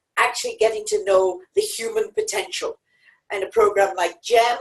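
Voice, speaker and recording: A woman with an Irish accent, very wide pitch swings and a fairly slow pace. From Ireland. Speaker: petroleum geologist and company chair. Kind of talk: self introduction on webinar. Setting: podium in studio.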